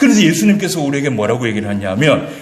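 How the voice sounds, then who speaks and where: A man is speaking. Room echo is audible, and there is noticeable background noise. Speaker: pastor. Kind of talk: sermon. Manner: fast.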